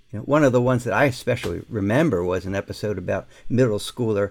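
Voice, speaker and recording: This man speaks at a fairly quick pace with a fairly low pitch. His is a plain, everyday voice with ordinary pitch variation. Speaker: education journalist and editor. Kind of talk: conversational interview.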